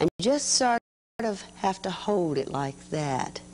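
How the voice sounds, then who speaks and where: Over light background noise, a woman speaks with lively intonation. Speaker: children's TV craft host. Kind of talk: tutorial. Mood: warm, patient. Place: studio.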